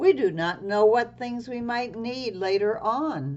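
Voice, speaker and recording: This put-on character voice sounds female, pitched fairly high for a woman and delivered at a fairly slow pace. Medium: read story.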